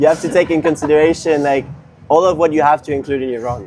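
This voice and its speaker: Despite noticeable background noise, a man can be heard speaking in a French accent at a fairly high pitch with fairly even intonation. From France, Paris. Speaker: competitive skateboarder. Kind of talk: casual interview.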